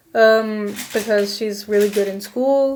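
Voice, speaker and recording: Here a woman speaks with a fairly high pitch. Her pitch varies in an ordinary way. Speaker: student. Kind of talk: school oral presentation on a short story. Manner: hesitant, many filler words.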